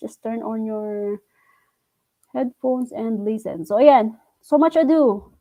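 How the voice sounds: A woman speaks at a fairly high pitch. Her pitch varies in an ordinary way.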